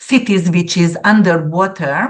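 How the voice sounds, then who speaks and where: Against a quiet background, a woman speaks very slowly with a Central European accent. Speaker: astrologer. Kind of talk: interview, explaining predictions. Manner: animated.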